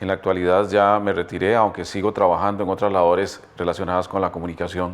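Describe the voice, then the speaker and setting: A man talks very fast in a very deep, low voice. His intonation stays monotone and flat. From Costa Rica, Heredia. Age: 60s. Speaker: retired journalist. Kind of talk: testimony. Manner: hesitant with fillers.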